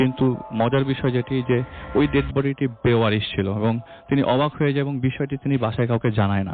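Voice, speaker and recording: Music plays behind a man speaking. His pitch is medium, with ordinary variation. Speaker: radio guest and storyteller. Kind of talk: ghost story telling on radio.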